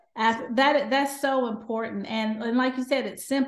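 A woman's voice with a Southern US accent. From US South. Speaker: doctor. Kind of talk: interview.

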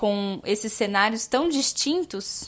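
Fairly high in pitch with lively intonation, a woman has an ordinary speaking voice. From São Paulo state, Brazil (interior). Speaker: student podcast co-host. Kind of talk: interview.

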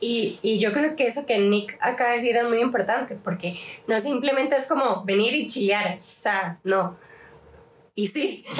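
A woman speaks in an ordinary speaking voice at a fairly high pitch. Her pace is fairly slow, and her pitch variation is ordinary. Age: 20s. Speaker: youth group leader. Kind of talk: casual chat.

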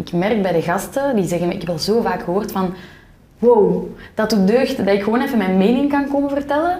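Against audible room echo, a woman speaks at medium pitch and a moderate pace with ordinary pitch variation. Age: 20s. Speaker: podcaster. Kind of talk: casual interview conversation.

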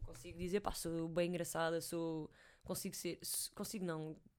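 Fairly quick and fairly even in intonation, this woman has a plain, everyday voice. The recording is very clean, with a silent background. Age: 20s. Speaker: host's sister, footballer. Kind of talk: casual chat.

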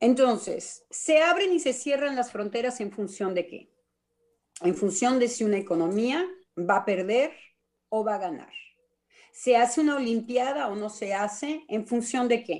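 In a very clean recording with a silent background, a woman with a normal speaking voice and fairly high pitch speaks with lively intonation. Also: fairly slow pace. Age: 60s. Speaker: psychoanalyst. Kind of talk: radio panel discussion.

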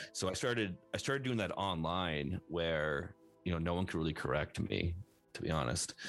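Moderate pace and lively intonation, with music in the background. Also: man, very deep, low pitch for a man. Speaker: online personality. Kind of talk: casual interview chat. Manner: casual, filler-heavy.

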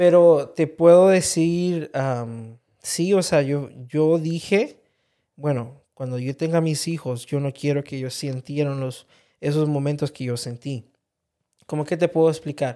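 This man has a fairly high pitch and a dark, mellow tone with ordinary pitch variation. He talks at a fairly slow pace on a very clean recording with a silent background. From Honduras. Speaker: host's husband, interviewee. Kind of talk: casual interview conversation.

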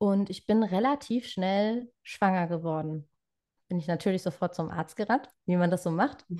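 Her tone is dark and mellow at a moderate pace. The background is quiet. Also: medium pitch for a woman, ordinary pitch variation. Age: 20s. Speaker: trainee birthkeeper sharing pregnancy loss story. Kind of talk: personal testimony in interview.

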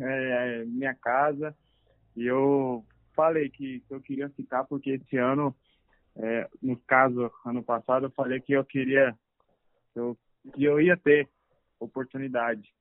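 Speaking at a very slow pace, a man uses fairly even intonation and leaves long, frequent pauses. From Brazil, Anápolis, Goiás. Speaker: professional footballer. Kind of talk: interview. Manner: calm.

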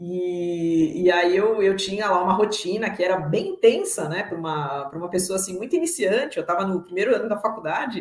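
A woman in a normal speaking voice, at a medium pitch with ordinary pitch variation. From São Paulo state, Brazil. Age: 40s. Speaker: guest, agile professional. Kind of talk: personal testimony. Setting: live stream.

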